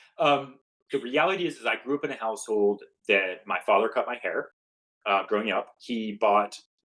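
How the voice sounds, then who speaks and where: Bright and sharp in tone, a man with an American accent speaks at medium pitch and a moderate pace with lively intonation. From United States. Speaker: tech company president. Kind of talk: podcast interview. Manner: hesitant, many fillers and restarts; simplified, neutral speech.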